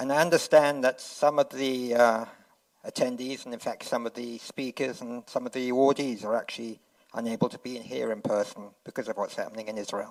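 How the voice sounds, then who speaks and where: A man at medium pitch, fairly quick and fairly even in intonation, with big swings in loudness. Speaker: award presenter. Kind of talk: ceremony speech. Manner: soft-spoken.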